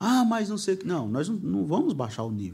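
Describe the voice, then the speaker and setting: A man is speaking. His voice is somewhat breathy. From Brazil, Guarulhos (Greater São Paulo). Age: 40s. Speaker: pastor and preacher. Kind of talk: casual interview chat. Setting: studio, live stream.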